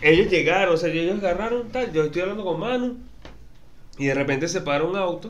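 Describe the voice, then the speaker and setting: A man speaks at a fairly quick pace in a high pitch, with audible echo in the room. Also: ordinary pitch variation. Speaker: podcast host. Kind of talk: casual chat.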